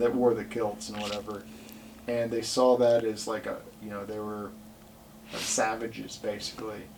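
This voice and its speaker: A man at a fairly low pitch, moderate pace and fairly even intonation, with big swings in loudness, long, frequent pauses and noticeable background noise. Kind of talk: casual podcast conversation.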